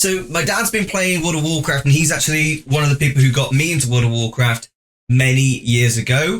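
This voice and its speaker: A man's ordinary speaking voice, fairly high-pitched, with lively intonation and a fairly quick pace. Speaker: gaming podcast host. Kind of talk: casual podcast conversation.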